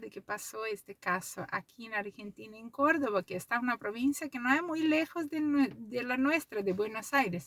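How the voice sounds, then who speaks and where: The audio is dry and close, with no echo. A woman's intonation is lively. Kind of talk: casual vlog monologue. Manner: slow, deliberate.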